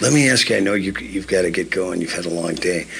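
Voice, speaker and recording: With an American accent, a man speaks with very wide pitch swings. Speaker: radio host. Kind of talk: radio interview show. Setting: studio.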